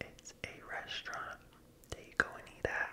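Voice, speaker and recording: Very slow whispering from a man. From United States. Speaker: ASMR content creator. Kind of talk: asmr ramble, casual talk to camera. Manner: slow, soft-spoken, whispery. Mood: playful, animated faces.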